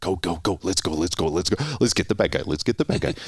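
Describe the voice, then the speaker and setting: The speaker uses a put-on character voice at a very fast pace. Light background noise can be heard. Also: man, very deep, low pitch for a man. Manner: eager, repetitive, energetic.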